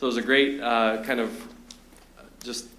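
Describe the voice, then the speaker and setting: A man speaks at a fairly quick pace. There is audible room echo. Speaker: public commenter at city council. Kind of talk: public comment. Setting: city council meeting. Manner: fast.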